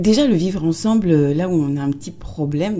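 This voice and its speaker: A woman's fairly low voice with lively intonation at a moderate pace, over noticeable background noise. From France, Tours. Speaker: writer and former actress. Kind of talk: interview. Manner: hesitant, repeats words.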